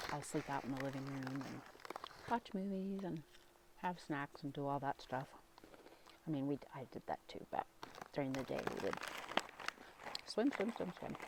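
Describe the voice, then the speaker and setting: With lively intonation and long, frequent pauses, a woman speaks in a very deep, low pitch for a woman over noticeable background noise. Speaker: ASMR creator, parent. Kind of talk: ASMR ramble while eating a snack. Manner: soft-spoken, quiet, slow.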